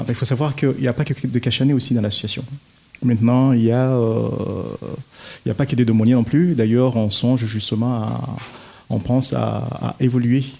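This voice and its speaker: This man's medium-pitched voice has a dark, mellow tone and fairly even intonation, broken by long, frequent pauses. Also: moderate pace. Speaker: community association president. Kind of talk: radio interview.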